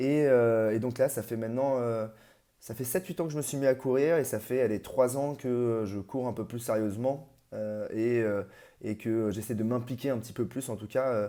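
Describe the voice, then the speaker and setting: Moderate-paced speech from a man at medium pitch, fairly even in intonation. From Paris region, France. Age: 30s. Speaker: amateur ultra trail runner. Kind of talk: interview. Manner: halting, many hesitations.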